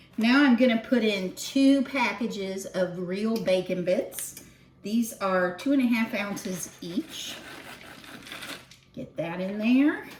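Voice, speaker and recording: Over noticeable background noise, a woman talks at a very slow pace with a fairly high pitch and lively intonation. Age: 60s. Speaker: home cooking video host. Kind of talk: cooking tutorial, casual chat. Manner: casual, chatty.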